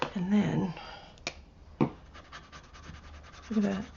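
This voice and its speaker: A soft-spoken woman talks. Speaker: craft artist. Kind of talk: product unboxing. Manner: animated.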